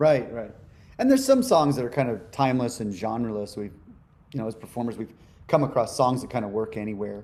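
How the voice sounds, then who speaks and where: At a very fast pace, a man with an American accent speaks in a dark, mellow tone at medium pitch, with ordinary pitch variation and big swings in loudness. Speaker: musician. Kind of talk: interview.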